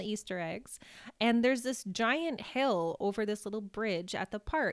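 On a very clean recording with a silent background, a woman speaks at a moderate pace and fairly high pitch in an unremarkable speaking voice, the sound dry and close with no echo. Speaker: podcast host. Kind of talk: casual chat, storytelling.

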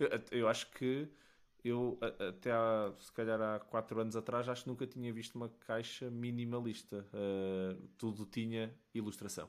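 Speaking at a fairly slow pace with big swings in loudness, a man uses a medium pitch and fairly even intonation on a very clean recording with a silent background. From Portugal, Matosinhos. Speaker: podcast host. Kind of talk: casual interview. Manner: halting, with many repeated words.

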